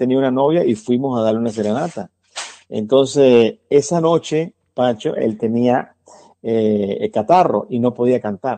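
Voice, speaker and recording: Over a quiet background, a man speaks with lively intonation. His pace is moderate and his pitch medium. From Venezuela. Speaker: singer and musician. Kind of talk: interview storytelling. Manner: halting.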